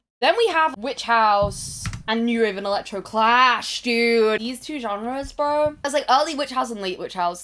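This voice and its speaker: A woman's fairly high, animated voice with lively intonation at a moderate pace, on a very clean recording with a silent background. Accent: British. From Britain. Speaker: music video essayist. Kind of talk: casual video essay commentary.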